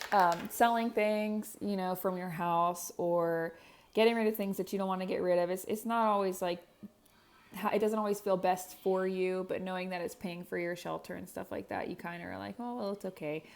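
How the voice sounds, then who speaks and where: Speaking at medium pitch, a woman keeps to a moderate speed. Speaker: devotional vlogger. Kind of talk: casual testimony. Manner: animated.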